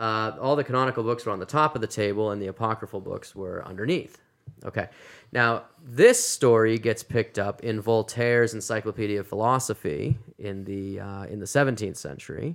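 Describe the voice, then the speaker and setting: On a very clean recording with a silent background, a man with an American accent speaks at a fairly quick pace in an unremarkable speaking voice, medium in pitch with ordinary pitch variation. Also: big swings in loudness. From Massachusetts. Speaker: seminary professor. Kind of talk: casual interview.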